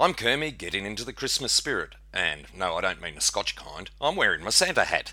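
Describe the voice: The speaker simply reads the text aloud in a plain way.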